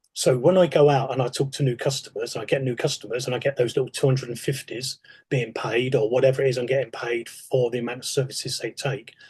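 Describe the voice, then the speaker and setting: A man speaks at a very fast pace in a medium pitch. His voice is somewhat breathy, with fairly even intonation. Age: 60s. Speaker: retired police sergeant. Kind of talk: podcast interview.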